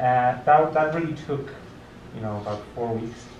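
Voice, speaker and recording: Amid noticeable background noise and audible room echo, a man speaks at a medium pitch and a moderate pace. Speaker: tech meetup speaker, research team lead. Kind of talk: conference talk with audience questions. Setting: restaurant meetup with audience. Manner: hesitant, many fillers and restarts.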